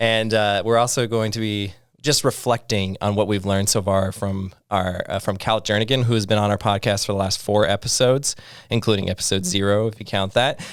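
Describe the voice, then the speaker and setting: A man with an American accent and an unremarkable speaking voice, pitched fairly low. He talks at a fairly quick pace with fairly even intonation on a very clean recording with a silent background. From US Midwest, Iowa. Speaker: podcast co-host. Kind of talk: casual chat.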